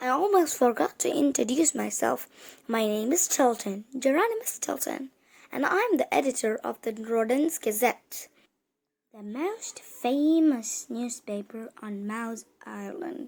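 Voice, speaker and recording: A female-sounding, put-on character voice, high in pitch, at a fairly slow pace. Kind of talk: children's book read-aloud. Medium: read story.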